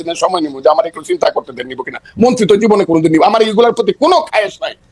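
A man's extremely high pitch and animated tone over noticeable background noise. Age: 70s. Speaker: political commentator. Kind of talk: talk show debate.

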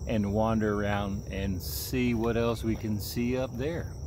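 With lively intonation and a fairly low pitch, a man speaks in a dry sound with no echo while noticeable background noise runs behind him. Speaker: outdoor vlogger. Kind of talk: casual vlog chat. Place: waterside. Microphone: phone near.

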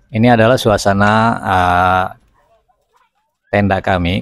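Over faint music in the background, a man speaks at a fairly slow pace with ordinary pitch variation, the sound dry with no echo. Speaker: family travel vlogger. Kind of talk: casual vlog commentary. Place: open country. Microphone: phone near.

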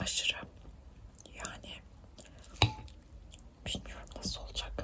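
Whispering comes at a fairly slow pace with long, frequent pauses, over noticeable background noise. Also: woman. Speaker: ASMR mukbang creator. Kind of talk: casual talk to camera while eating.

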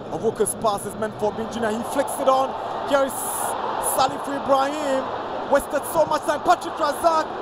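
Noticeable background noise plays under speech that unfolds at a moderate pace. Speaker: football commentator. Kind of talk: live play-by-play football commentary. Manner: excitable, rising to a shout at the final whistle.

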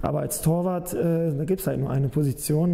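A man with a normal speaking voice, fairly high pitch, fairly even intonation and a moderate pace. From northern Germany, Hameln-Pyrmont area (Lower Saxony); Lower Saxony. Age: 20s. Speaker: professional football goalkeeper. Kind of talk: interview. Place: office. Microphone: lapel.

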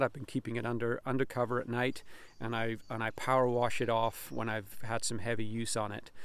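A man speaks in a monotone, flat way, recorded with a dry sound and no echo. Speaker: homesteader reviewing his tractor. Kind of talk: casual vlog chat. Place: farm machine. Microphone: phone near.

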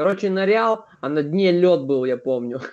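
Against a quiet background, a man with a high voice speaks at a moderate pace with lively intonation. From Vladivostok, Russia. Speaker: video chat user. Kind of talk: casual chat, heavy swearing. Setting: video chat. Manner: swearing, emotional. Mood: animated, swearing, complaining. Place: home room. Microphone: webcam.

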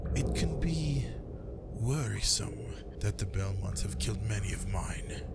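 A man's put-on character voice at a moderate pace over loud background noise. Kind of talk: ASMR roleplay. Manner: menacing, slow, coldly calm.

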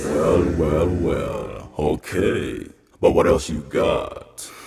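A man puts on a raspy character voice and speaks at a very slow pace, with a clear echo around him. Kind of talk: casual street talk. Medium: solo performance. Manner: dismissive, then placating.

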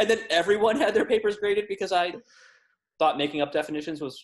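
A man with an American accent, talking at a very fast pace, with lively intonation. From US South. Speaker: podcast co-host. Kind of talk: casual chat. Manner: laughs often. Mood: relaxed, joking. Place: home room. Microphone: webcam.

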